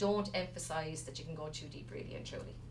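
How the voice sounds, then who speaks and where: A woman with a Wexford accent, audible room echo around her voice. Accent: Wexford Irish. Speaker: resuscitation instructor. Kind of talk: lecture. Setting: stage with audience, streamed to remote centres. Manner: fast.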